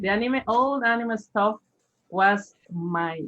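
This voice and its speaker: This woman speaks with a Spanish accent. Her pace is fairly slow. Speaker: language teacher. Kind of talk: casual chat. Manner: halting.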